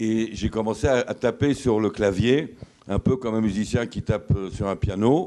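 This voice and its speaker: Fairly low in pitch, a man speaks with a dark, mellow tone and ordinary pitch variation. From France, Paris. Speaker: author and former army officer. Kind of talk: lecture. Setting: lodge hall with audience. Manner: halting, many fillers.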